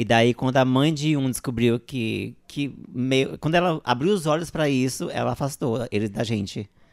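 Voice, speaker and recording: A man at medium pitch has an ordinary speaking voice. The recording is very clean, with a silent background. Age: 40s. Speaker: drag performer and co-host. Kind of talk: casual chat.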